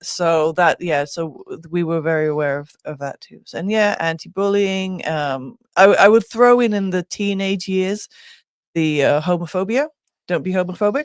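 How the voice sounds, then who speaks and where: With an English accent, a woman speaks at a medium pitch and moderate pace with ordinary pitch variation. Her loudness swings a lot, and the sound is dry and close with no echo. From rural England. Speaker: talk show co-host. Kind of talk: casual chat.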